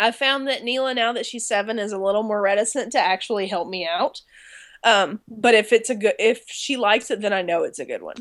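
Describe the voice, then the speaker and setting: Using an ordinary speaking voice, a woman talks at a fairly quick pace with fairly high pitch and ordinary pitch variation. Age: 30s. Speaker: music therapist and researcher. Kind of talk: casual chat.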